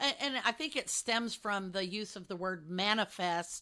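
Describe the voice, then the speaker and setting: With an American accent, a woman speaks at a medium pitch in a bright, sharp tone with ordinary pitch variation, captured in a very clean recording with a silent background. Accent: Texas accent, shows sometimes. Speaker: podcast co-host. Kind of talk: casual chat.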